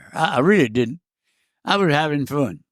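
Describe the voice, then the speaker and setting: A man with a Cajun accent, fairly high pitch and lively intonation at a moderate pace, on a very clean recording with a silent background. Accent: Cajun Louisiana English. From Southwest Louisiana. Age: 90s. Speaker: war veteran, former freight train hobo. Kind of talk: interview answer, storytelling.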